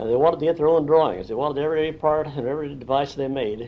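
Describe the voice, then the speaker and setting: This man talks at a very fast pace with a Midwestern American accent. His pitch sits fairly high. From Indiana. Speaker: retired factory draftsman. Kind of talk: oral history interview. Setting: at his home.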